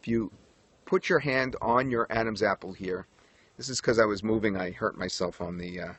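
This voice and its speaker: A man with an American accent speaks at a fairly quick pace, his pitch medium. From New York. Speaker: broadcaster and periscope coach. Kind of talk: tutorial. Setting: outdoors livestream on a tripod.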